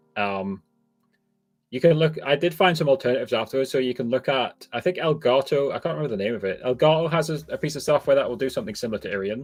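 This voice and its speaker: A man with a fairly high voice speaks very fast with lively intonation. Music plays in the background. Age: 30s. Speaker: live streaming coach and content creator. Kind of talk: live stream Q&A. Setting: live stream. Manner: halting, many fillers and restarts.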